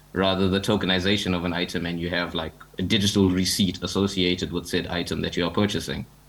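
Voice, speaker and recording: Very fast, monotone speech with flat intonation and audible room echo. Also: man. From Zimbabwe. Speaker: digital artist and NFT community founder. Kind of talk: panel discussion. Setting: joining a conference panel online.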